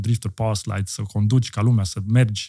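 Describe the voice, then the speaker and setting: A man's somewhat breathy, dark, mellow voice, fairly low in pitch with fairly even intonation. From Austria. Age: 40s. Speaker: entrepreneur. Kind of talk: casual chat.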